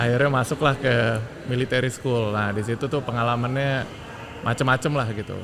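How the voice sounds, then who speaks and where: With noticeable background noise, a man of medium pitch speaks at a fairly quick pace and fairly even intonation. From Jakarta, Indonesia. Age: 40s. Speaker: transport company technology director. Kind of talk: interview.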